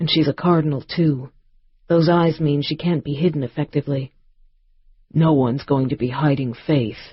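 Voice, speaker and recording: A man's intense, fairly high-pitched put-on character voice at a moderate pace, with long, frequent pauses. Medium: read story. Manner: terse, intense.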